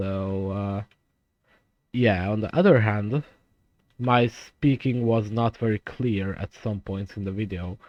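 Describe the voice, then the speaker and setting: A man's very slow speech, fairly low in pitch, with ordinary pitch variation. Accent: non-native. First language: not English (English is third language). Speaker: gaming YouTuber. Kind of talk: gameplay commentary. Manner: deliberately slower, consistent volume; halting, many fillers.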